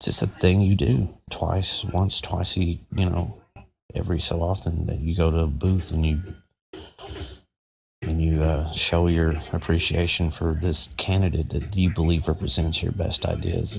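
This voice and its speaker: Soft-spoken and somewhat breathy, a man with an American accent talks at a moderate pace. His pitch is very deep and low, with fairly even intonation. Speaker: podcast host. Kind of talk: casual monologue.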